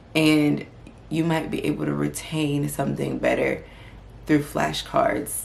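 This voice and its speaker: Someone speaks at a fairly slow pace in a calm tone with long, frequent pauses, over noticeable background noise and audible room echo. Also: woman. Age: 20s. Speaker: medical student and lifestyle vlogger. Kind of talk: vlog advice talk.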